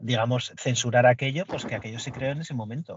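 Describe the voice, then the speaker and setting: It moves along fairly quickly and sounds somewhat breathy. The intonation stays fairly even. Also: man. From Basque Country, Spain. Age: 40s. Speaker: podcast guest, Bond fan. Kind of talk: casual chat.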